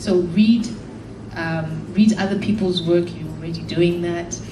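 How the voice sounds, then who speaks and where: The pace is moderate and the intonation fairly even. Audible room echo and noticeable background noise are present. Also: woman. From Zimbabwe. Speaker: author. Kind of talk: panel talk with audience questions.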